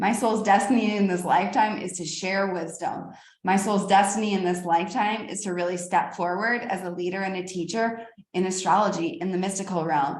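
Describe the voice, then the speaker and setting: There is audible room echo as a woman talks at a fairly quick pace, her medium-pitched voice carrying an animated tone. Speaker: astrologer and spiritual teacher. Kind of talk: spiritual teaching monologue.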